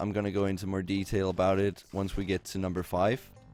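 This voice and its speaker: Music plays in the background as a man with a fairly low pitch speaks at a moderate pace. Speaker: game tutorial maker. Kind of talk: gameplay tutorial narration. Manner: mumbling, hesitant; flat, unenthusiastic.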